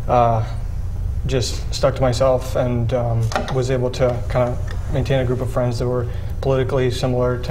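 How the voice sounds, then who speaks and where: A man races along at a very fast pace while light background noise sits underneath. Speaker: young conservative activist. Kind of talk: panel discussion. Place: studio.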